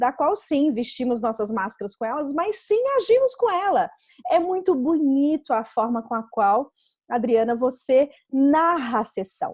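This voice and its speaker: Her voice sits high for a woman and leaps through very wide swings in pitch. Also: fairly slow pace. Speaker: interviewer, BodyTalk therapist. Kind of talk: interview questions.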